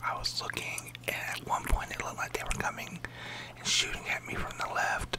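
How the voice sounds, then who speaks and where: A whisper moves at a fairly quick pace, with noticeable background noise behind it. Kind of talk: casual talk to camera, gameplay commentary. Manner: soft-spoken, relaxed.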